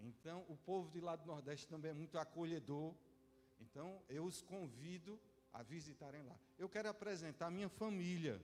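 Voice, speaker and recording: High-pitched man's voice, its pitch varying in an ordinary way. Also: moderate pace. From Northeast Brazil (João Pessoa, Paraíba). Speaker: visiting pastor. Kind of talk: sermon. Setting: church service.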